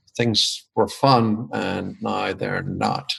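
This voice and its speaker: A man with a strong Irish accent speaks with ordinary pitch variation against a quiet background. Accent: Irish, still strong after twenty years in US. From Ireland. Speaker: business consultant and author. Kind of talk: interview.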